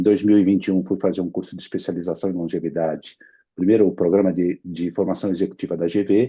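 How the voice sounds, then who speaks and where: Very deep and low in pitch, this man talks at a very fast pace in a dark, mellow tone with fairly even intonation. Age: 60s. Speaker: insurance executive, longevity specialist. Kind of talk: interview.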